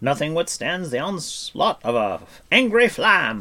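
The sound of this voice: Putting on a character voice, a man talks slowly at a fairly high pitch, with very wide pitch swings and a bright, sharp tone.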